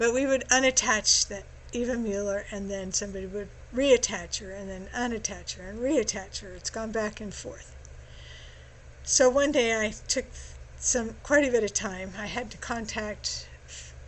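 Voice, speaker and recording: A woman speaks at a moderate pace with a fairly high pitch and ordinary pitch variation. Vocal fry and big swings in loudness run through her voice. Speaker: genealogy tutorial presenter. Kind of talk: screen-share tutorial. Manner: casual with fillers.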